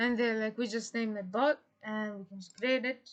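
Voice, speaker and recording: Someone with a non-native accent speaks with fairly even intonation over a quiet background. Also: woman. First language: not English. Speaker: tutorial creator. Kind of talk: tutorial. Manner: halting, many fillers.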